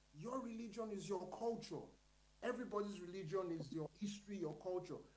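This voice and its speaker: Amid audible room echo, a man with a Nigerian accent speaks at a moderate pace with ordinary pitch variation. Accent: Nigerian (Yoruba) English. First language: Yoruba. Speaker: panelist at literary colloquium. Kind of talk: panel discussion.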